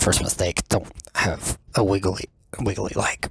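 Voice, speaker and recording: A man whispering. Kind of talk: casual podcast talk. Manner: halting, hesitant.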